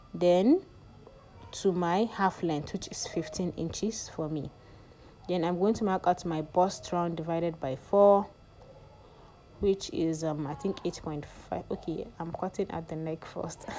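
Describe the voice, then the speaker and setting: Speaking at a fairly slow pace with long, frequent pauses, a woman with a non-native accent keeps her fairly low voice in fairly even intonation. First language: not English. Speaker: sewing tutorial youtuber. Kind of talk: tutorial. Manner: casual, hesitant with fillers.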